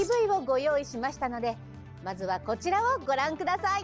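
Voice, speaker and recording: Upbeat in tone, the voice moves at a fairly quick pace with very wide pitch swings as music plays in the background. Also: woman, high pitch for a woman. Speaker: voice actress. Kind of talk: game news show hosting. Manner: upbeat, friendly.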